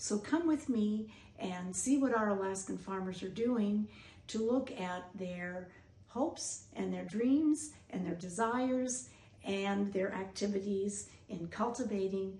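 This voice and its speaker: At a fairly slow pace, a woman with an American accent speaks at medium pitch with ordinary pitch variation, amid audible room echo and noticeable background noise. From US Midwest. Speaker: doctor and researcher hosting a documentary. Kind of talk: scripted narration.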